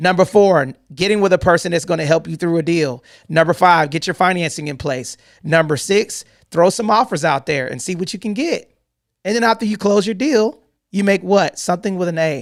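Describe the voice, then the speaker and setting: A man with an American accent speaks at a fairly quick pace in a high voice, his pitch moving up and down in an ordinary way. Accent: country twang. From US South, Atlanta, Georgia. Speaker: real estate investor and show host. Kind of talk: live online town hall teaching. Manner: animated.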